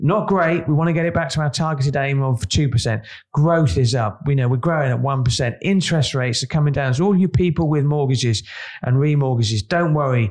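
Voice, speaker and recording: Speaking at a fairly quick pace, a man with a fairly high, somewhat breathy voice shows ordinary pitch variation and very even loudness. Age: 50s. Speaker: podcast co-host, business editor. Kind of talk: casual chat.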